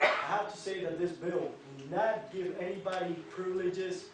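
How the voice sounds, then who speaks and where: Noticeable background noise and audible room echo surround a man speaking at a high pitch. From Cuba. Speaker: military veteran. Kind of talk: public testimony. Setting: state house hearing room.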